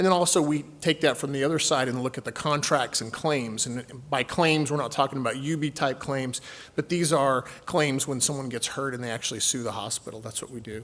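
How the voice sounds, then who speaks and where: A man talks at a fairly quick pace with a slight Texan accent. His pitch is fairly high, with ordinary variation. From Texas. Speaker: healthcare company executive. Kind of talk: conference presentation. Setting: stage with audience.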